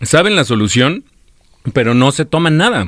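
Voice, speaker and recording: Animated and lively in intonation, a man speaks at a moderate pace in a fairly high pitch, on a very clean recording with a silent background and a dry, close sound with no echo. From Michoacán, Mexico. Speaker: radio host. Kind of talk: casual chat.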